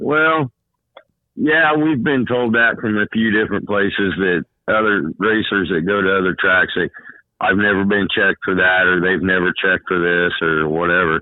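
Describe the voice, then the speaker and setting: A man talks in a normal speaking voice with fairly low pitch. His pace is moderate and his intonation lively. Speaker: track tech inspector and former racer.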